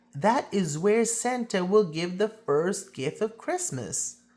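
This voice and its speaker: At a fairly slow pace, a man does a put-on character voice at a high pitch. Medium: read story. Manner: calm, assured.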